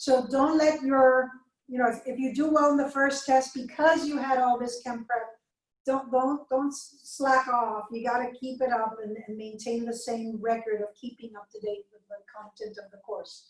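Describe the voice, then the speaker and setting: A woman speaks with a slight Spanish accent at a high pitch. Her intonation is fairly even, but her loudness swings widely. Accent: slight Spanish accent on some words. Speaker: chemistry lecturer. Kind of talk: lecture. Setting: video call recording, alone in room. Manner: fast.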